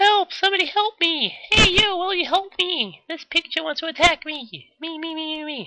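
Squeaky and extremely high, a put-on character voice at a moderate pace. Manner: panicked, mock-pleading.

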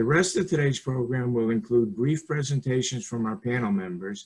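In a quiet background, a man speaks at a moderate pace and medium pitch in a somewhat breathy voice. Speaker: architect and webinar moderator. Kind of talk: moderating a panel discussion. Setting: video call. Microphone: webcam.

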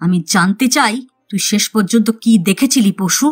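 Doing a put-on character voice at medium pitch, a woman speaks at a moderate pace, with hissing in the audio. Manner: hissing like a snake; threatening.

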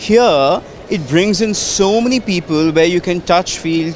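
A man's voice with ordinary pitch variation, dry with no echo, with music in the background. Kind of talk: interview answer. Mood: enthusiastic, reflective. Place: hall. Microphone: handheld.

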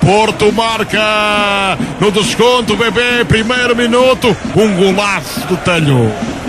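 Against noticeable background noise, a man with a high pitch and ordinary pitch variation speaks very slowly, the sound dry with no echo. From Portugal. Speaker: radio football commentator, play-by-play. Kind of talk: live football commentary, goal call. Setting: radio broadcast from stadium. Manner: extremely excitable, shouting, repeating names. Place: stadium.

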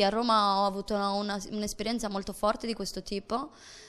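Using monotone, flat intonation, a woman speaks at a fairly quick pace. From Sardinia, Domus de Maria; Sardinia. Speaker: actress and theatre performer; actress. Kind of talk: interview; interview answer. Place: studio. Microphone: handheld.

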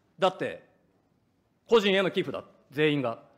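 In a quiet background, a man with a high pitch speaks at a moderate pace. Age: 40s. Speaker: opposition politician. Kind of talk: parliamentary questioning. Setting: parliament committee room. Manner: formal. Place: hall. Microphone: podium.

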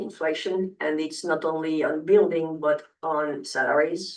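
Someone speaks at a fairly slow pace with a non-native accent. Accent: noticeable non-native English. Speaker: hotel developer and investor. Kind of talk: public meeting presentation. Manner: halting, many fillers.

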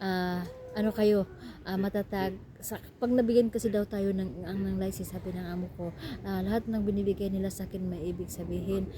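A woman with a Philippine accent at a fairly quick pace. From Visayas, Philippines. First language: Cebuano (speaking Tagalog). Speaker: domestic helper vlogger. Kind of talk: casual vlog. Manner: hurried, hushed.

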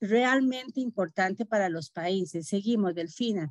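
A woman with lively intonation is heard against a quiet background, in a dry sound with no echo. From Costa Rica. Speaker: government health official; webinar presenter. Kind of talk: presentation. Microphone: video call.

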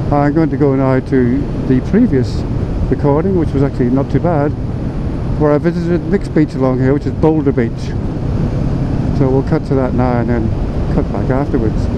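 A man talks at a fairly quick pace over loud background noise. The sound is dry, with no echo. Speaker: motorcycle vlogger. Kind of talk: casual vlog chat. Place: motorbike. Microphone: helmet.

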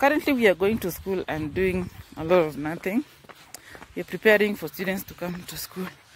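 Light background noise sits under a woman's lively intonation, and the sound is dry with no echo. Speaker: high school teacher, vlogger. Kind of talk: casual vlog chat. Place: street. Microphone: phone near.

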